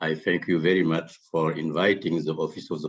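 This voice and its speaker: A man speaks with a very deep, low pitch. His intonation is monotone and flat. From Senegal. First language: French. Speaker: international court official, former judge. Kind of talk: formal conference address.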